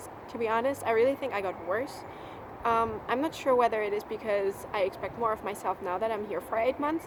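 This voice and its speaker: With a slight German accent, a woman talks at a fairly quick pace in a fairly high voice with ordinary pitch variation. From Germany. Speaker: au pair vlogger. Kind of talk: casual vlog monologue.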